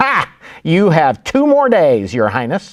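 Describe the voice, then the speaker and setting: A man's put-on character voice, cackling, fairly high in pitch with very wide pitch swings at a fairly slow pace. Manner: cackling, gleeful.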